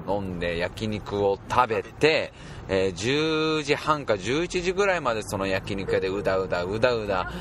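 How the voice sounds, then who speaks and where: The man's voice sits fairly low, and he speaks at a fairly slow pace. His intonation is lively, with noticeable noise in the background. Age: 20s. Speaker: podcast guest. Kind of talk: casual chat.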